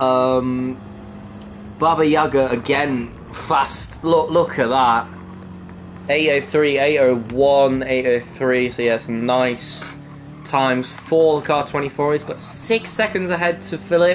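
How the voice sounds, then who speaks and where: Music plays behind a man speaking at a very slow pace. His pitch is fairly high, with ordinary pitch variation. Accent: East Midlands. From England, East Midlands (Nottingham). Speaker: sim racing commentator. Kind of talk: live commentary. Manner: animated.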